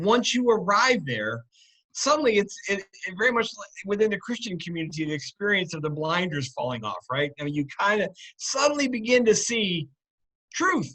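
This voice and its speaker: A man's raised, projected voice, high-pitched and bright and sharp, at a moderate pace, with very wide pitch swings and big jumps in loudness. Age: 60s. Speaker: political commentator and former radio host. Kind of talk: casual chat. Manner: halting, many fillers.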